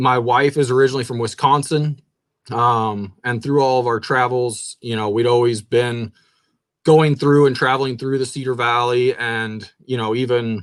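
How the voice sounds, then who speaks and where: Speaking at a moderate pace, a man with a slight Kansas accent and medium pitch keeps his intonation fairly even. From southern Kansas. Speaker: shoe store owner. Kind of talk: interview. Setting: live stream.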